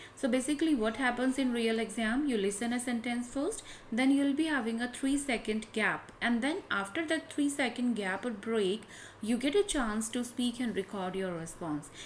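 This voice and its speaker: A woman with an Indian accent, high pitch, lively intonation and a moderate pace. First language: Hindi. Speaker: English test tutor. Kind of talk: tutorial.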